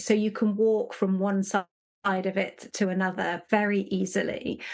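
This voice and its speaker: In an English accent, a woman talks at a medium pitch. The background is quiet. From England, Nottingham. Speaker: leadership consultant. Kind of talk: podcast interview.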